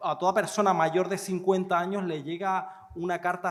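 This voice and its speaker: A high-pitched man's voice in a Canarian accent. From Canary Islands. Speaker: nephrologist. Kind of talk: conference Q&A answer.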